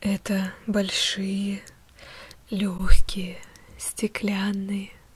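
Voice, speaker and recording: A woman is speaking. She is soft-spoken. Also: dry sound with no echo. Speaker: guided meditation host. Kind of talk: guided visualization, soft ASMR-like narration. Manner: soft, hushed meditative ASMR voice.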